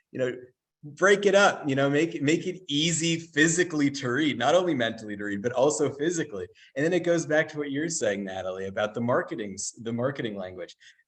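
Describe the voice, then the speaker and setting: Speaking very fast, a man uses a fairly high pitch, lively intonation and vocal fry. The background is quiet. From Israel. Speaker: webinar host. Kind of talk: webinar interview.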